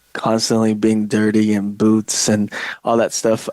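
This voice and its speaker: A man with a Chinese accent speaks at a moderate pace and a medium pitch. The sound is dry and close, with no echo. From southern China, moved to US at eight. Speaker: real estate agent. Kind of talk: podcast interview. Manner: hesitant, many fillers.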